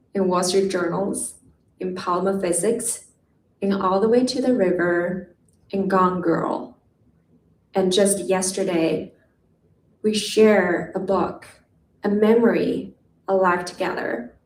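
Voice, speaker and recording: At a very slow pace and with long, frequent pauses, a woman with a non-native accent talks at a medium pitch with ordinary pitch variation. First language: not English. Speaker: poet. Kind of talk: poetry reading. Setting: stage with audience.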